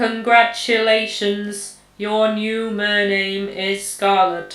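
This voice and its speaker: A robotic put-on character voice, fairly high in pitch, moves at a very slow pace. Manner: slow, robotic.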